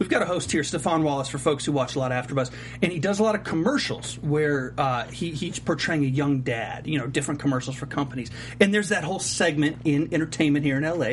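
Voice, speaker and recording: A man's very fast speech at a fairly high pitch, with ordinary pitch variation and noticeable background noise. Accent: American. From US South, Charlotte. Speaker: TV aftershow host. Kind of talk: casual interview chat. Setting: studio.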